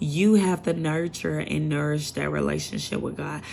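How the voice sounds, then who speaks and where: A woman with an animated tone at a fairly slow pace, with audible room echo. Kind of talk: casual sermon to camera.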